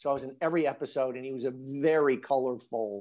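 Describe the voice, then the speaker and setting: On a very clean recording with a silent background, a man with a Midwestern American accent speaks at a moderate pace and medium pitch with fairly even intonation. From US Midwest, northern Illinois. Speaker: actor. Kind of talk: casual interview.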